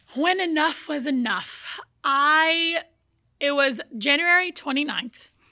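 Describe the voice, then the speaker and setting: Woman's raised, projected voice, high-pitched with a bright, sharp tone, very slow pace and ordinary pitch variation, on a very clean recording with a silent background. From born in Brazil, raised in the US from age four. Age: young. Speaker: fitness journey guest. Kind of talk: casual interview.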